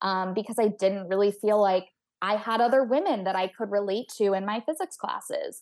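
In a quiet background, a woman with an American accent has an ordinary speaking voice, a fairly high pitch, ordinary pitch variation and a moderate pace. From Texas. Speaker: astrophysicist and author. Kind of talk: interview.

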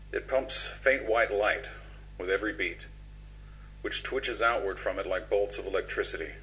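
Long, frequent pauses break up a man's speech, delivered at a moderate pace. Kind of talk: horror narration fiction.

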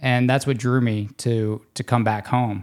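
In a very clean recording with a silent background, a man with an American accent speaks with a plain, everyday voice at a medium pitch, a moderate pace, and fairly even intonation. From US South, Louisiana near New Orleans. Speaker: interventional cardiologist. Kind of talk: casual interview.

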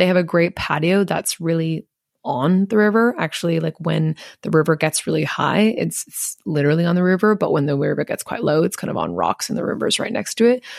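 A woman with an Inland Northwest accent talks at a fairly quick pace and a fairly low pitch, with ordinary pitch variation. The sound is dry and close, with no echo. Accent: American (Inland Northwest). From Montana, US (Missoula). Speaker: travel podcast host. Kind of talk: casual solo monologue.

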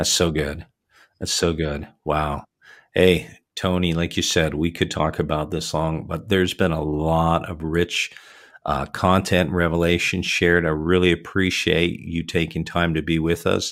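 A man with a Canadian accent, very deep and low in pitch, fairly slow and monotone with flat intonation, in a very clean recording with a silent background. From Canada (Toronto area). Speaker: podcast host and minister. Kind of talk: interview conversation; storytelling.

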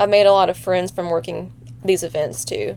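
There is noticeable background noise as a woman speaks with an American accent. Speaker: former student sports photographer, ER nurse. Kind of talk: casual chat.

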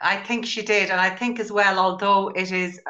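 A woman with an Irish accent talks at a fairly quick pace. Her tone is bright and sharp, and her intonation fairly even. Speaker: book club host. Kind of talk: casual chat.

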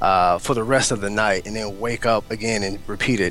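A man speaks over noticeable background noise. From Oklahoma. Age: 20s. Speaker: entrepreneur. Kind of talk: interview conversation. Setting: Skype call.

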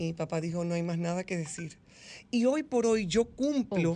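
A woman's medium-pitched voice, dark and mellow in tone, with lively intonation over a quiet background. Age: 50s. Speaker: psychologist. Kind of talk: radio interview. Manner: animated.

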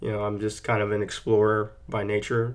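In a very clean recording with a silent background, a man speaks at a medium pitch with a Texan accent. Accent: Texan American. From Texas, San Antonio. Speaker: author and teacher. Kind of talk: casual monologue. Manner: relaxed, hesitant with fillers.

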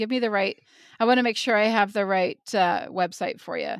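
Recorded very cleanly against a silent background, with a dry, close sound and no echo, a woman with an American accent speaks at a moderate pace. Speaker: podcast host. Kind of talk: casual chat.

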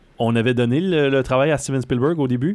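In a normal speaking voice, this man moves along fairly quickly, his pitch varying in an ordinary way. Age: 30s. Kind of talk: casual chat.

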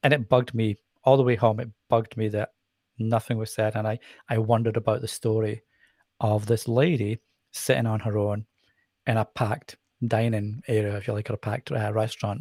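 Somewhat breathy and at a medium pitch, a man speaks at a fairly quick pace with fairly even intonation and long, frequent pauses, in a very clean recording with a silent background and a dry, close sound with no echo. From Scotland. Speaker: nonprofit fundraiser and social media campaigner. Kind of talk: podcast interview.

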